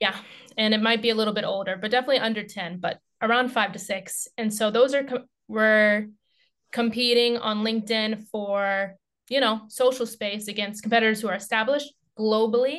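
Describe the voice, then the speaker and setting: With fairly even intonation, a woman talks in a normal speaking voice at a fairly high pitch. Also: fairly quick pace, quiet background. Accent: American. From United States. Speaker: content marketer. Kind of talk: podcast interview.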